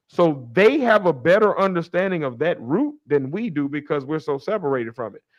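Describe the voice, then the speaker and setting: A man with an American accent talks at a fairly quick pace with hardly any pauses. His pitch is fairly high, his intonation lively and his tone animated. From Chicago. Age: 40s. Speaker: podcast host. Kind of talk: casual chat. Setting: live stream.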